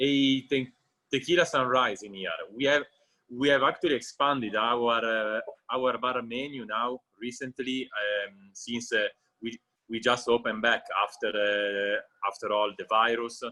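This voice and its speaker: A man with an Italian accent, a bright, sharp tone, fairly even intonation, big swings in loudness and a fairly slow pace. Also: medium pitch for a man. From Italy, Genoa (Liguria). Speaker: restaurant owner. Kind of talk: casual interview chat. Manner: halting, many fillers.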